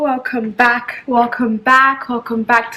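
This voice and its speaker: A woman speaks in a high pitch with monotone, flat intonation. Noticeable background noise runs beneath her. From Zimbabwe. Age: 20s. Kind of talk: casual talk to camera.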